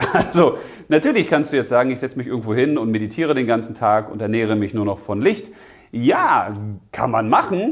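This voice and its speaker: A man with an unremarkable speaking voice talks at a fairly quick pace in a medium pitch with lively intonation, against a quiet background. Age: 40s. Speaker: spiritual coach / video host. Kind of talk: motivational monologue.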